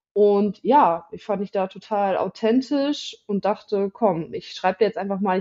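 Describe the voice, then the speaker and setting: A woman at medium pitch speaks at a fairly slow pace in a plain, everyday voice. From northern Germany, village near Osnabrück. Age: 20s. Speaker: podcast guest sharing patient experience. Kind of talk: casual chat.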